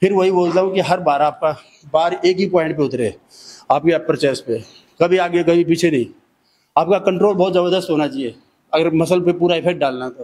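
A high-pitched man's voice broken by long, frequent pauses. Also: ordinary pitch variation, moderate pace. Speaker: fitness trainer. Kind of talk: tutorial.

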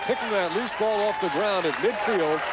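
Loud background noise runs through the clip. The sound itself is dry with no echo. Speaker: play-by-play commentator. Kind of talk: live sports commentary, play-by-play. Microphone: headset.

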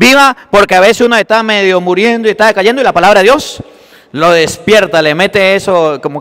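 A man speaks in an animated tone. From Venezuela. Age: 30s. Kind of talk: sermon. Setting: church. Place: church.

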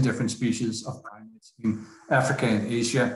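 A man speaks with fairly even intonation. Audible room echo and light background noise are present. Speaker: speaker. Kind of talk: lecture. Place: home room. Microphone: video call.

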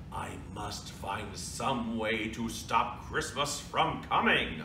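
Using a put-on character voice, a man growls at a medium pitch and a very slow pace, with loud background noise and a slight echo. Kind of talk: storytelling read-aloud. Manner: growling, scheming.

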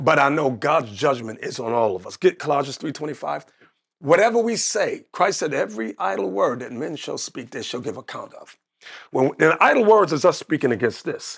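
On a very clean recording with a silent background, a man with an American accent sounds animated, his fairly high pitch swinging very widely and his loudness shifting greatly. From United States. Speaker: religious leader. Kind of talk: interview about religion. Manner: animated storyteller.

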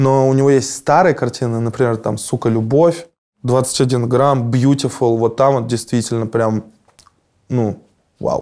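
Speaking at a fairly slow pace with long, frequent pauses, a man with a dark, mellow tone and medium pitch keeps his intonation fairly even over a quiet background. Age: 30s. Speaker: musician; interviewee. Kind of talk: interview. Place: studio. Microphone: lapel.

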